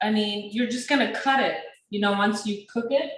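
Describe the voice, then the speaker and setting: A woman at medium pitch speaks with ordinary pitch variation. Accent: non-native. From Sudan. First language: not English. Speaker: chef and small business owner. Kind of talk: cooking class.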